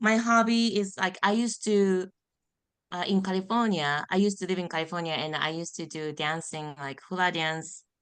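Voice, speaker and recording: Over a quiet background, a woman with a Japanese accent speaks at a moderate pace and medium pitch, her pitch variation ordinary. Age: 40s. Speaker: ER nurse, program participant. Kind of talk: self-introduction in group call.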